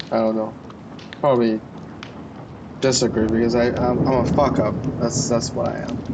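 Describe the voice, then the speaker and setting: A man speaks in a monotone, flat intonation, leaving long, frequent pauses. Audible room echo and noticeable background noise are present. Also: medium pitch for a man, moderate pace. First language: not English. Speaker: vlogger. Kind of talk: casual chat. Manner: halting, many fillers.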